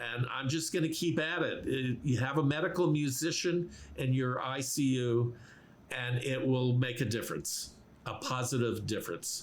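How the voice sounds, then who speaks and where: With audible room echo, a man of medium pitch speaks at a moderate pace with ordinary pitch variation. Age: 70s. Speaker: medical musician, guitarist. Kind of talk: podcast interview. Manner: halting, many fillers.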